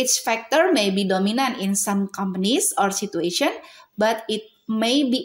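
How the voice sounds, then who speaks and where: A woman speaks in an Indonesian accent at a moderate pace. Her fairly high voice has lively intonation. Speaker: university student presenter. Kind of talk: academic presentation. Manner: halting.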